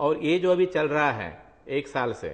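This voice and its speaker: A man with a Marathi accent speaks at a fairly high pitch with fairly even intonation. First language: Marathi (speaking Hindi). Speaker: magazine editor. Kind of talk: interview.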